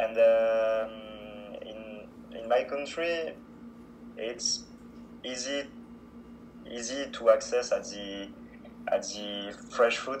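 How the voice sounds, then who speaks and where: With a French accent, a man speaks at a very slow pace. He leaves long, frequent pauses and shows big swings in loudness. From France. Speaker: student language exchange partner. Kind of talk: casual interview. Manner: halting.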